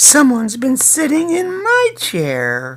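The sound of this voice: A female-sounding put-on character voice speaks with a high pitch. The pace is fairly slow.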